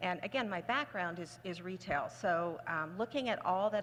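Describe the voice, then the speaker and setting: At a moderate pace, a woman speaks in a plain, everyday voice at a medium pitch. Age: 60s. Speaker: full-time online reseller. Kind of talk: panel discussion.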